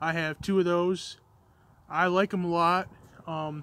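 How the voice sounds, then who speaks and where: Very slow and bright, a man's sharp-toned voice sits high in pitch, with light background noise and a dry sound free of echo. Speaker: outdoor gear reviewer. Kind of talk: casual review chat. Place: open country. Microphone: phone near.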